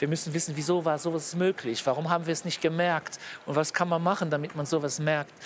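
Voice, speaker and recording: A man speaks very fast at a fairly high pitch. His intonation stays monotone and flat. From Luxembourg. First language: Luxembourgish (speaking German). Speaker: politician. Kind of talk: interview. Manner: halting.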